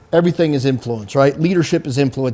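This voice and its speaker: A man with a fairly high pitch speaks in an American accent. His tone is dark and mellow. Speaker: military veteran and security consultant. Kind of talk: interview. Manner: loud, lecturing.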